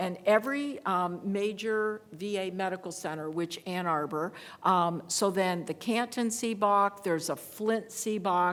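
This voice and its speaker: Here a woman has an unremarkable speaking voice, medium in pitch, with ordinary pitch variation at a fairly slow pace. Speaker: veterans legal advocate. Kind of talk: panel presentation with Q&A.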